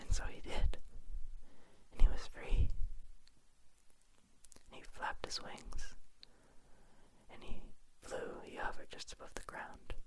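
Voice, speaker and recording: Someone whispers at a fairly slow pace, with long, frequent pauses. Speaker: ASMR creator. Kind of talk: whispered ASMR bedtime story narration. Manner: whispered, soft, relaxing.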